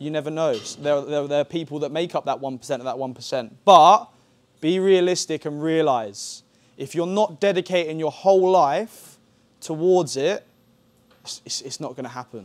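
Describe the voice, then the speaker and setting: A man speaks with an English accent at a fairly high pitch for a man. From England. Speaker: football coach. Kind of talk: lecture. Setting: camp masterclass with audience. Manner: repetitive filler okay. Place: hall. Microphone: lapel.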